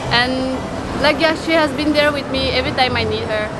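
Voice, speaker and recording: The voice moves at a fairly quick pace over loud background noise. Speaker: interviewee. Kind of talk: interview answer. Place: street. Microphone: phone near.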